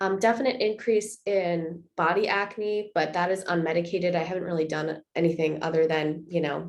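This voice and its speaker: With a plain, everyday voice, a woman speaks at a moderate pace and fairly low pitch, using ordinary pitch variation and hardly any pauses. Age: 20s. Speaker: vlogger sharing personal experience. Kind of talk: personal vlog update. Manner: casual with frequent filler 'um'.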